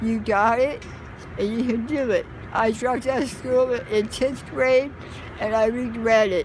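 At a fairly slow pace, a woman with an American accent and a high pitch keeps her intonation fairly even, the sound dry with no echo and light background noise. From Southern California. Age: 50s. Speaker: homeless resident; interviewee. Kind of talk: interview. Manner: halting. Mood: earnest, regretful, emotional. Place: street. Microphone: phone near.

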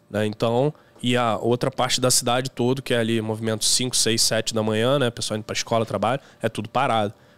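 The delivery is monotone, with flat intonation. The pace is fairly quick. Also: man. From Rio de Janeiro, Brazil. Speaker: rideshare driver and YouTuber; podcast guest or host. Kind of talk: casual chat; casual podcast conversation. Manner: halting. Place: studio. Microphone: studio mic.

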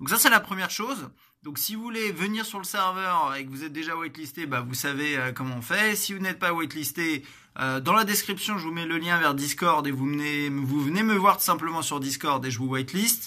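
A man with a normal speaking voice talks at a fairly quick pace, his fairly high pitch moving in a lively intonation. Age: 30s. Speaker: gaming streamer. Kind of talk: casual announcement video. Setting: home corner with plant and lamp.

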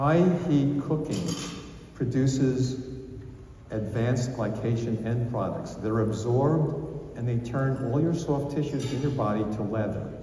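A man at a fairly slow pace, ordinary pitch variation, audible room echo and light background noise. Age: 70s. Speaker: physician; conference presenter. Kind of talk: lecture. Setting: stage with audience. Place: hall.

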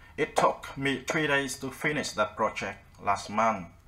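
There is noticeable background noise. Over it, a man at medium pitch speaks with lively intonation. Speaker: English teacher. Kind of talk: tutorial. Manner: casual, friendly, explanatory.

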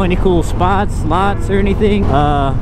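The recording is dry, with no echo at all. Noticeable background noise surrounds the man as he talks. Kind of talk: casual vlog chat. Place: motorbike. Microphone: helmet.

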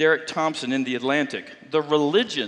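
A man speaks at a moderate pace. His pitch sits fairly high. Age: 60s. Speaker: pastor. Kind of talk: sermon. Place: church.

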